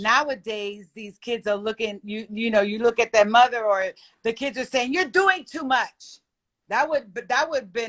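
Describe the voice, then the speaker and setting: A woman with a normal speaking voice talks at a moderate pace and fairly high pitch, with ordinary pitch variation. Her loudness swings widely, and the sound is dry and close with no echo. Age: 60s. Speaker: panel guest. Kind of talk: casual chat. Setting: live stream.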